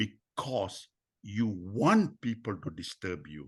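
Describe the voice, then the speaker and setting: A very slow, somewhat breathy voice with lively intonation. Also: man. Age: 80s+. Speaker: mentor and personal development speaker. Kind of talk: podcast interview. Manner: animated.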